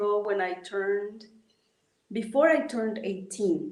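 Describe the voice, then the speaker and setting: A woman's fairly high voice with audible room echo. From Mexico, Oaxaca mountains. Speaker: traditional healer. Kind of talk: interview. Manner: halting.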